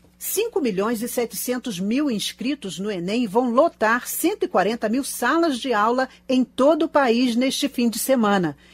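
A woman's high voice, very slow yet with hardly any pauses and lively intonation. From Brazil. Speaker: radio reporter. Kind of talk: news reading. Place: studio.

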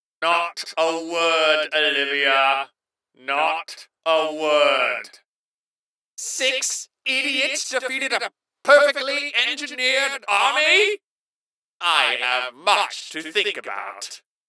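Here a man uses a put-on character voice, high in pitch with very wide pitch swings. His pace is very slow. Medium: solo performance. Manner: cold, condescending, commanding.

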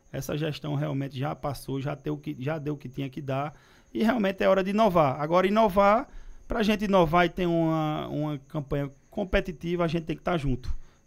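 Against a quiet background, a man with an unremarkable speaking voice speaks fairly quickly at a fairly high pitch. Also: ordinary pitch variation. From Pernambuco, Brazil (Recife); Pernambuco, Brazil. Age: 30s. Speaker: politician. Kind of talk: interview. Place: studio. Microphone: studio mic.

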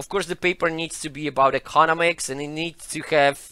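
A man's bright, sharp voice at a moderate pace, dry with no echo. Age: 30s. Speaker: economics lecturer. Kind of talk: interview. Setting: studio with online audience. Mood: relaxed, smiling. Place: studio. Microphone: headset.

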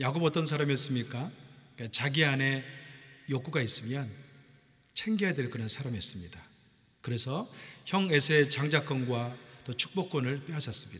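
Against a quiet background, a man speaks fairly quickly, his pitch varying in an ordinary way. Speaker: pastor. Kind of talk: sermon. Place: church. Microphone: podium.

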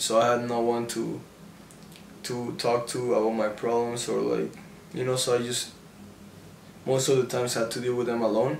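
A man speaks at a moderate pace in a monotone, flat delivery, with long, frequent pauses, audible room echo and light background noise. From Mexico City. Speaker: YouTuber. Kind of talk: casual Q&A. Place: home room.

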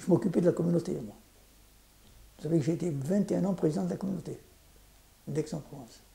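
The man's fairly high voice has a dark, mellow tone with vocal fry and ordinary pitch variation. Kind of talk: casual interview recounting life story. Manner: halting, repeats words. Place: home room. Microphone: lapel.

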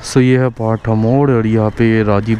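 A man's fairly low, dark, mellow voice with little pitch movement, at a moderate pace over faint background noise.

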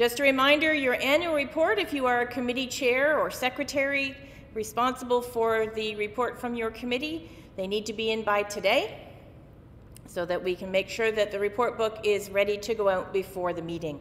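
Lively intonation runs through this fairly quick delivery, with light background noise behind it. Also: woman. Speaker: minister giving announcements. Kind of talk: church announcements.

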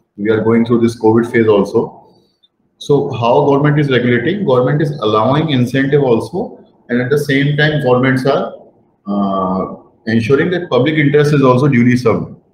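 A man talks at a fairly quick pace. Audible room echo and light background noise are present. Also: ordinary pitch variation. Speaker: guest lecturer. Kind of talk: lecture. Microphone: webcam.

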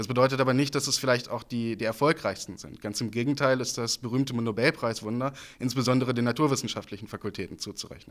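A man's medium-pitched voice at a very fast pace, with hardly any pauses and fairly even intonation. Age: 20s. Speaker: student politician. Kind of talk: campaign interview statement. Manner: frequent filler hesitations (äh). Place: hall. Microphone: handheld.

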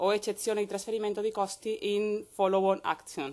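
Against a quiet background, a woman with a medium pitch speaks at a fairly quick pace. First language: Spanish (speaking Italian). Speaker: law professor. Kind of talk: conference talk. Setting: university lecture hall. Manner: formal.

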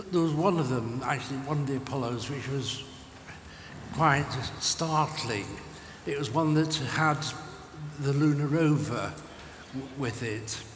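A man talks at a fairly slow pace, pausing long and often. Audible room echo and light background noise surround his voice. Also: fairly high pitch for a man, ordinary pitch variation. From England, Cheshire; England. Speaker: retired radio astronomy engineer. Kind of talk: interview on stage. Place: stage.

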